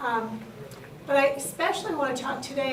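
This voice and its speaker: Against noticeable background noise and audible room echo, a woman with an American accent speaks at a fairly quick pace with ordinary pitch variation. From New York City, Queens. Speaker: state library official. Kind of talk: conference panel talk.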